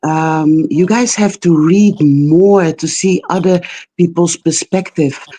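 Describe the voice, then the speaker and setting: In a dry, close sound with no echo, a woman with a non-native accent speaks at a very slow pace, her fairly low pitch carrying a dark, mellow tone, fairly even intonation and very even loudness. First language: not English. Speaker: caller on live stream. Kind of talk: call-in discussion. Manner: halting, many fillers.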